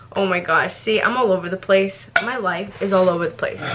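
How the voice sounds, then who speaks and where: A woman at a medium pitch and moderate pace, animated in tone, with noticeable background noise. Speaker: lifestyle vlogger. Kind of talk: casual vlog talk to camera.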